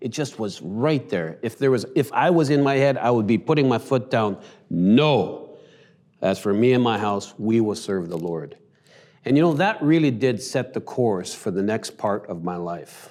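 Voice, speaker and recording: Lively intonation marks this man's speech in a Western Canadian accent. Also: medium pitch for a man, moderate pace. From Canada, Vancouver. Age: 50s. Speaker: church elder. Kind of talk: testimony.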